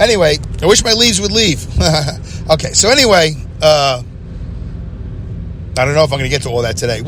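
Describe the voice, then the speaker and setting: A loud man with a New York accent talks at a fairly quick pace and fairly high pitch, with very wide pitch swings. Long, frequent pauses break it up over noticeable background noise. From Brooklyn, New York. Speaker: podcast host. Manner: loud, fast talker.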